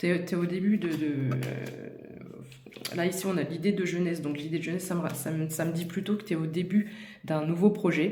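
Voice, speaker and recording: A woman whispers at a moderate pace amid audible room echo and noticeable background noise. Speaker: tarot card reader. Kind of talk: tarot reading addressed to viewer. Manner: whispering; hesitant, many fillers.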